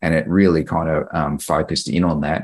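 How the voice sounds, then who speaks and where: In an Australian accent, a man speaks with a very deep, low pitch, vocal fry and fairly even intonation. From Queensland, Australia (Mount Isa). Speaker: public servant. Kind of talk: group coaching conversation.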